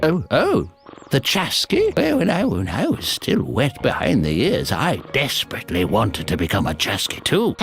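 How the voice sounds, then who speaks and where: Using a put-on character voice, a man speaks at a medium pitch and a moderate pace, his loudness very even, with clear music in the background. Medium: video game. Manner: halting, stuttering, chuckling.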